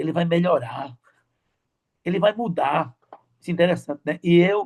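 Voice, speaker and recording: In a dry, close sound with no echo, a man speaks at a high pitch with ordinary pitch variation. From Brazil, Recife, Pernambuco. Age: 60s. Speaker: church deacon. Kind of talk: testimony. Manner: fast; halting, repeats words.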